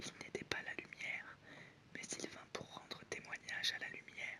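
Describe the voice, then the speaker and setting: A fairly slow whisper comes through noticeable background noise. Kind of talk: whispered Bible reading for sleep. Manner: whispered.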